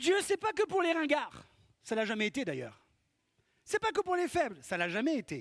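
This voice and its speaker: A man with a slight Corsican accent talks at a moderate pace, his pitch extremely high and swinging very widely. Long, frequent pauses break up the speech, and the sound is dry and close with no echo. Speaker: pastor. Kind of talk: sermon. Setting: church.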